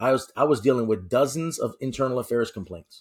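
Speaking with a New York accent, a man goes at a very fast pace. His pitch is medium, with ordinary variation. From New York City. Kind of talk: interview discussion. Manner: upbeat, animated.

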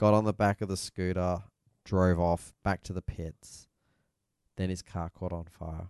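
Dry, close sound with no echo, a quiet background, and a man with an Australian accent using fairly even intonation. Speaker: motorsport podcast host. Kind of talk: casual chat. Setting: studio.

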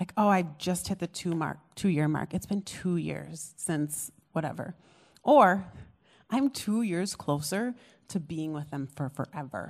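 An unremarkable speaking voice from a woman with an American accent, at a fairly low pitch and fairly slow pace with lively intonation, in a very clean recording with a silent background. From US, small town. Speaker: pastor. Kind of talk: testimony. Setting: stage with audience.

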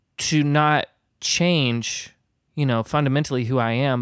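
In a normal speaking voice with an American accent, a man talks at a fairly slow pace with ordinary pitch variation, on a very clean recording with a silent background. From Indiana, US Midwest. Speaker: artist and musician. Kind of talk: casual chat.

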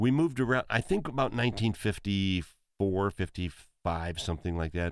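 With an Upper Midwest accent, a man with a fairly low pitch talks at a fairly quick pace in a very clean recording with a silent background. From eastern South Dakota. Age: 60s. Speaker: musician and entertainer. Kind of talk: casual chat. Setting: studio.

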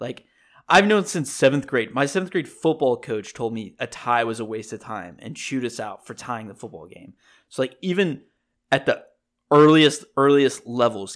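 A man speaks at a moderate pace in an unremarkable speaking voice, medium in pitch, with lively intonation and big swings in loudness. The recording is very clean with a silent background. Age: 20s. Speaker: sports podcast host. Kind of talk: casual solo sports talk.

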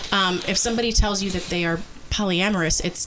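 The speaker goes at a fairly quick pace over noticeable background noise. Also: woman. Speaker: podcast host. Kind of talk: casual chat, bantering patter like a radio DJ. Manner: bubbly, chatty, hosty.

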